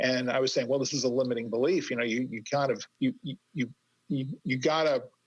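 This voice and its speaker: Here is a man with a plain, everyday voice. His pitch is medium and his intonation fairly even. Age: 60s. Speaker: career coach and author. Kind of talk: interview conversation.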